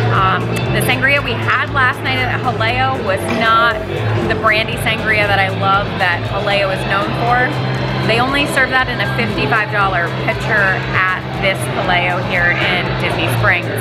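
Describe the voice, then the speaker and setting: A woman speaks at a fairly slow pace with loud music in the background. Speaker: travel vlogger. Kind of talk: casual vlog chat. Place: bar. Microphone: phone near.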